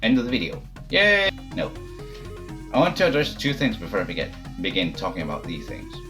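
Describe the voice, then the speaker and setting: With music in the background, a man speaks at a fairly quick pace but takes long, frequent pauses. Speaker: gamer, fighting game player. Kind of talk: casual talk to camera, game review. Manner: casual, hesitant.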